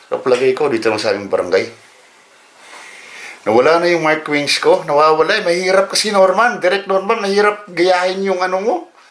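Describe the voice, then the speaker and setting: Against noticeable background noise, a man speaks fairly quickly in a high pitch with lively intonation. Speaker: vlogger. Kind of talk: casual vlog. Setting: at home during power outage.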